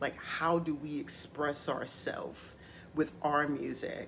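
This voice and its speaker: Speaking at a very slow pace, a woman uses a very deep, low pitch and a monotone, flat intonation. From New York City, the Bronx. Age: 60s. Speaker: hip hop commentator. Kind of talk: monologue podcast commentary.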